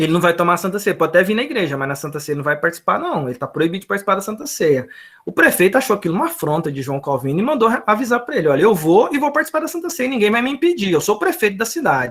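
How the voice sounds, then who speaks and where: Words come out very quickly. Pauses are almost absent. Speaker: Sunday school teacher. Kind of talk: lecture. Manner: animated.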